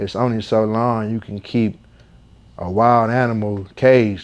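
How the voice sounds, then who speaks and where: A man with a plain, everyday voice, an American accent, medium pitch, fairly even intonation, and a quiet background. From Flint, Michigan. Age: 30s. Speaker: rapper. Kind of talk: interview. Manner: casual.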